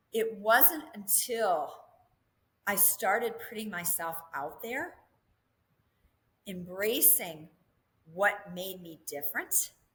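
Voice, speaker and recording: Speaking in a Minnesota accent, the voice moves very slowly with long, frequent pauses. Its intonation is lively, with big swings in loudness. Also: woman, medium pitch for a woman. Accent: northern US (Minnesota). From Minnesota (southeastern, small town). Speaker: real estate developer and company CEO. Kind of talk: podcast interview. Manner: animated.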